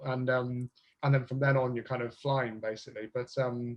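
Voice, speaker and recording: A somewhat breathy man's voice, fairly high in pitch, at a fairly quick pace with a southern English accent. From southern England, Bristol. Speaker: speed dating business owner. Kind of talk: podcast interview. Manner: halting.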